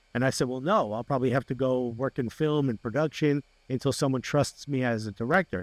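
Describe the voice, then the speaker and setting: A man with a New Jersey accent speaks at a fairly quick pace and medium pitch. His pitch varies in an ordinary way, and the sound is dry and close with no echo. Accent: New Jersey American English. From New Jersey (Newark), US. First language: Spanish. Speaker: comedian and sports TV host. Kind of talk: interview. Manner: animated.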